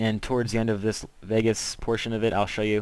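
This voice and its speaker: Medium pitch and a fairly quick pace from a man. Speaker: video tutorial maker. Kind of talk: tutorial. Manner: fast; casual.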